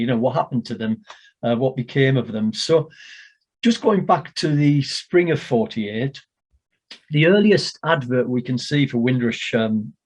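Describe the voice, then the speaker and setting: This man has an unremarkable speaking voice at a medium pitch. He keeps a moderate pace. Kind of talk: talk to an online audience about Windrush history.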